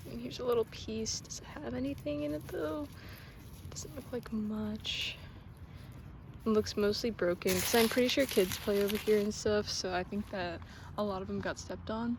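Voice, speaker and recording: Quiet and set against noticeable background noise, a woman speaks at a moderate pace with very wide pitch swings. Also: medium pitch for a woman. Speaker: nature vlogger collecting bones. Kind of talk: casual outdoor vlog narration. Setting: outdoors in a public park. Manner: quiet, hushed.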